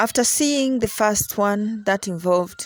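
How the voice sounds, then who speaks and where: A woman with a Ugandan accent speaks very slowly at a medium pitch, the sound dry and close with no echo. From Uganda, Buganda region. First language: Luganda. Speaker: traditional spiritual teacher. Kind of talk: teaching session.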